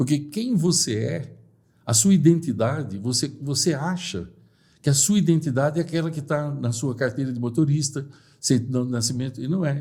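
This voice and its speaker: Fairly quick and somewhat breathy, a man talks with lively intonation at a fairly high pitch in a dark, mellow tone. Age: 60s. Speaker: personal development speaker. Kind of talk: podcast interview.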